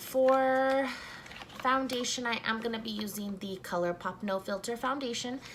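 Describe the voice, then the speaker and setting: A woman with a fairly high pitch talks at a moderate pace. Noticeable background noise runs underneath. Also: ordinary pitch variation. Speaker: beauty vlogger. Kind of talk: casual makeup review.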